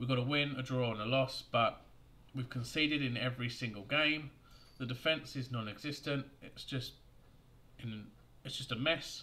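Loud and bright with a sharp tone, a man speaks at a medium pitch and a moderate pace with fairly even intonation and long, frequent pauses. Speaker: football fan YouTuber. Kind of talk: angry rant; fan video commentary. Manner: angry, venting; forceful, loud, sweary. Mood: angry, frustrated. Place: home room. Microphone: webcam.

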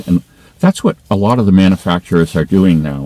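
Recorded dry with no echo, a man speaks at a very deep, low pitch with ordinary pitch variation. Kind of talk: casual vlog chat. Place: car.

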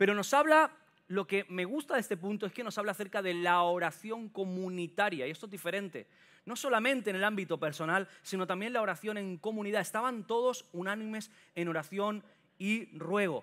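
A man speaks in an animated tone with a high pitch and ordinary pitch variation against a quiet background. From Catalonia, Sant Boi de Llobregat (Barcelona area); Catalonia. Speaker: preacher. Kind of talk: sermon. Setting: church with congregation. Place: church. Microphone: headset.

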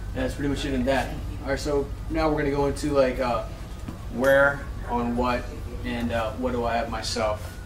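Through noticeable background noise, a man speaks with long, frequent pauses. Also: moderate pace. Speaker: firearms instructor trainee. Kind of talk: practice presentation. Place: classroom. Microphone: camera far.

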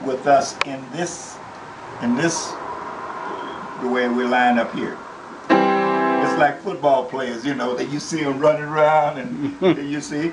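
Fairly slow male speech over loud background noise. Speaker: piano teacher. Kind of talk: casual piano lesson. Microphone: phone near.

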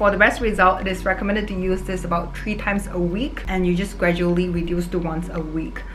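Faint music in the background behind a woman speaking at a moderate pace. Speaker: vlogger. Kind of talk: sponsored product review. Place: home room.

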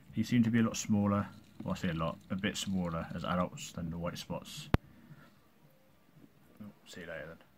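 With noticeable background noise behind him, a man speaks at a moderate pace in a very deep, low pitch. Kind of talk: casual vlog chat. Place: home room. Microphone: phone near.

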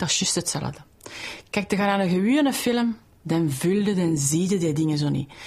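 A woman speaks at a moderate pace in a fairly low, somewhat breathy voice with lively intonation and an enthusiastic tone. Her loudness stays very even. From Brussels. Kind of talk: interview answer.

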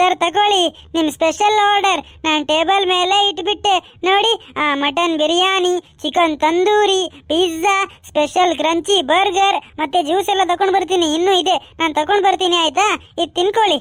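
Using a cartoonish character voice, a woman talks at a fairly slow pace with extremely high pitch, very even loudness and fairly even intonation. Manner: polite, brisk.

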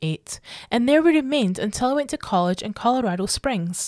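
A woman at a fairly quick pace with lively intonation, on a very clean recording with a silent background and a dry, close sound with no echo. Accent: Scottish. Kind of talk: horror story reading.

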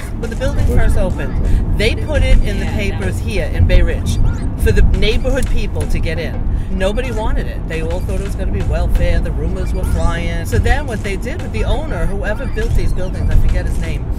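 Music plays in the background while a woman speaks at a fairly quick pace. The sound is dry, with no echo. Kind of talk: casual storytelling chat. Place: car. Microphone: camera far.

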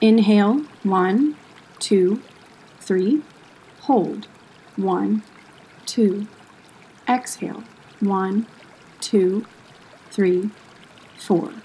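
A woman of medium pitch speaks in a gentle, soothing tone at a very slow pace, with very even loudness, ordinary pitch variation, long, frequent pauses and noticeable background noise. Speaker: yoga instructor and museum educator. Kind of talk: guided meditation. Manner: slow, soft and soothing, with long calm pauses between cues; gentle, even and unhurried, hushed.

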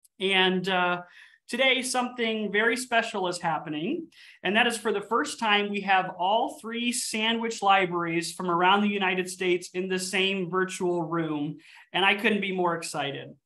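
Against a quiet background, a man uses a raised, projected voice with a bright, sharp tone, ordinary pitch variation and a moderate pace. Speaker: library event host. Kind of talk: webinar host introduction. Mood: cheerful, welcoming. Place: office. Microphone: video call.

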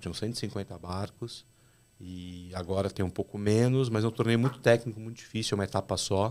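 Delivered at a moderate pace, an ordinary speaking voice carries fairly even intonation. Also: man. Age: 40s. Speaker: fishing captain; podcast guest. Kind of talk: casual chat. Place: studio. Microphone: studio mic.

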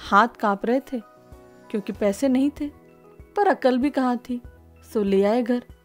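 With music playing behind her, a woman talks in a high voice. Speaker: spoken word poet. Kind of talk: spoken word poetry.

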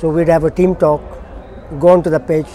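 Speaking at a very fast pace, a man holds a monotone, flat intonation. His pitch is fairly high, and there is noticeable background noise. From Kenya. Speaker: former international hockey player. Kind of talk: oral history interview answer.

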